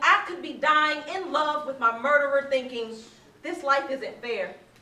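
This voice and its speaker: A woman with a high pitch uses a raised, projected voice at a very slow pace with ordinary pitch variation. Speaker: spoken word poet. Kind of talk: live spoken word poetry performance. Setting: live venue with audience.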